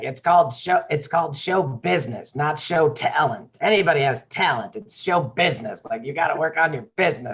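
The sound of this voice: Doing a put-on character voice, a man speaks at a fairly quick pace with a raspy, fairly high pitch and lively intonation.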